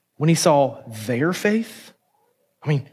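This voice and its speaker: A man with a plain, everyday voice speaks at a moderate pace and a fairly high pitch, his intonation lively, on a very clean recording with a silent background. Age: 40s. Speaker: pastor. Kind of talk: sermon.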